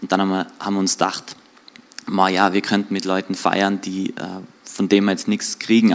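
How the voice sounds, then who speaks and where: A man speaks in a fairly low voice at a fairly quick pace. His intonation is monotone and flat. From Austria, Tyrol (Außerfern, Reutte area). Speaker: church guest giving testimony. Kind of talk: testimony interview. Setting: church livestream.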